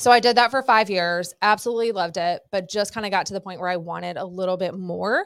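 A woman with an American accent talks at a very fast pace and medium pitch, with ordinary pitch variation and big swings in loudness. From Southern California. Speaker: real estate agent and broker. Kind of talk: casual interview.

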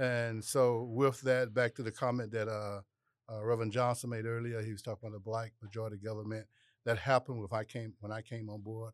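Recorded very cleanly against a silent background, a man speaks at a medium pitch in a flat monotone, his loudness swinging widely. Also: fairly quick pace. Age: 60s. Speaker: city commissioner.

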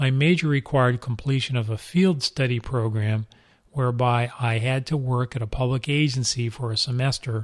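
A man with an American accent talks at a moderate pace and medium pitch, in an ordinary speaking voice. His intonation stays fairly even, and the recording is very clean with a silent background. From Southern California. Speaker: retired police deputy chief, podcast host. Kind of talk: scripted narration.

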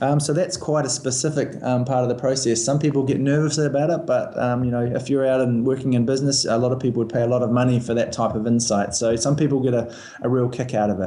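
A man's medium-pitched voice at a very fast pace, with fairly even intonation, very even loudness, hardly any pauses, and noticeable background noise. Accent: New Zealand. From New Zealand, Christchurch. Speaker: airline recruiting manager. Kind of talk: interview. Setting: phone call.

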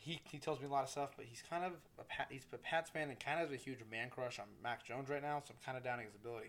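A man races along at a very fast pace, his medium pitch showing ordinary pitch variation. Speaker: podcast host. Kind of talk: casual solo podcast monologue. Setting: home studio with microphone. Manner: fast talker; casual, profane, animated.

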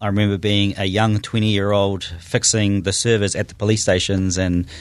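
A man speaks with a New Zealand accent. His fairly low voice is monotone and flat. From New Zealand, Auckland North Shore. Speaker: tech startup founder. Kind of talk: interview.

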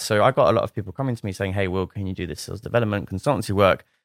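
In an English accent, a man speaks at a very fast pace with ordinary pitch variation, the sound dry and close with no echo on a very clean recording with a silent background. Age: 30s. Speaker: startup founder. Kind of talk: casual interview.

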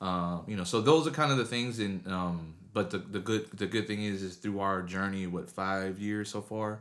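A man talks in a normal speaking voice at a fairly low pitch, with ordinary pitch variation. He keeps a moderate pace with hardly any pauses. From military family, moved around; Texas since 1996. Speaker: youth motivational speaker. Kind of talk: interview.

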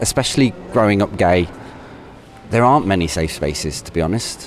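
Over noticeable background noise, a man talks at a moderate pace with very wide swings in pitch. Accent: West Midlands. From Coventry, England (Canley). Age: 40s. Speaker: primary school teacher. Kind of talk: personal reflection. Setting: shopping centre. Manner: conversational.

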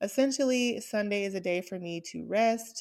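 A woman with an American accent uses a plain, everyday voice at a fairly slow pace with ordinary pitch variation, on a very clean recording with a silent background. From US South, Atlanta. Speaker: podcast host. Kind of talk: casual chat. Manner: upbeat.

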